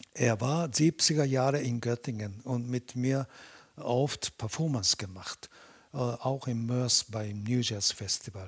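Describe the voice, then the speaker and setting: A man with a Japanese accent speaks very slowly at a medium pitch, somewhat breathy, with ordinary pitch variation in a dry, close sound with no echo. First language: Japanese (speaking German). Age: 70s. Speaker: Butoh dancer. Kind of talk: interview. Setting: at his home. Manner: halting.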